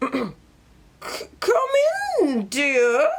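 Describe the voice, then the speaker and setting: This is a put-on character voice. It sounds high and squeaky. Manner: coaxing, disguised.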